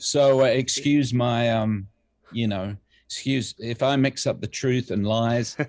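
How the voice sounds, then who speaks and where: A man talks fairly slowly at a medium pitch with fairly even intonation. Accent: English. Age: 60s. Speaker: music producer and bassist. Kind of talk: casual interview chat. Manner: halting, many fillers.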